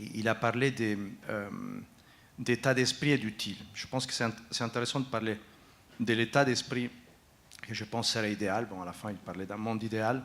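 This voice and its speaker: A man with an Italian accent at medium pitch, moderate pace, fairly even intonation and long, frequent pauses. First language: Italian (speaking French). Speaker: foundation executive, panelist. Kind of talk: panel discussion. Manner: halting, frequent hesitations.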